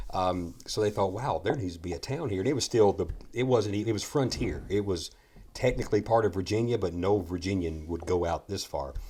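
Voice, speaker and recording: Speaking at a fairly quick pace with an American accent, a man has a fairly low pitch, a dark, mellow tone, ordinary pitch variation and a somewhat breathy quality. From Kentucky, Muhlenberg County. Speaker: distillery founder. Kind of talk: casual chat. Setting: distillery, restored schoolhouse.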